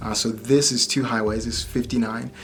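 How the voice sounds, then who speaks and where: Faint music plays in the background as a man with an American accent speaks. His intonation is monotone and flat, and his pace moderate. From Michigan, US. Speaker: tech vlogger; car owner reviewing a driving feature. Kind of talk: casual vlog.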